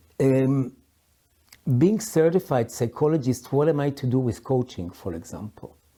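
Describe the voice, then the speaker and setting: A man with a dark, mellow tone and medium pitch speaks at a fairly slow pace on a very clean recording with a silent background. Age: 60s. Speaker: psychologist and coach. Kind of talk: personal reflective talk. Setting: sitting at a historic house in London. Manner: halting, many fillers.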